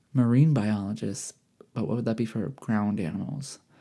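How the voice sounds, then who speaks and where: In a Midwestern US accent, a man speaks at a medium pitch and a moderate pace. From Michigan. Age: 20s. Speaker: podcaster. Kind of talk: casual chat. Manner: animated.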